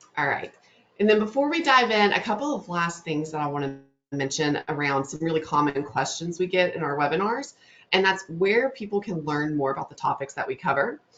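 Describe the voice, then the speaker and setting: With a Southern US accent, a woman speaks at a fairly low pitch with lively intonation. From North Louisiana. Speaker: webinar host, digital marketing specialist. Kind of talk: webinar presentation. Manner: fast.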